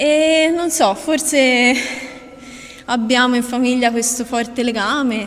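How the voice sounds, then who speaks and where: Very slow speech with long, frequent pauses and ordinary pitch variation, plus audible room echo and noticeable background noise. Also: woman, high pitch for a woman. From Tuscany, Italy. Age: young. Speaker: botanist. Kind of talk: interview. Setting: outdoors.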